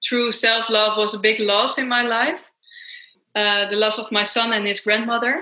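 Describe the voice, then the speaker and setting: Spoken at a fairly slow pace with a Dutch accent, the voice has a bright, sharp tone and fairly even intonation. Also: woman. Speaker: self-love coach and author. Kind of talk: interview.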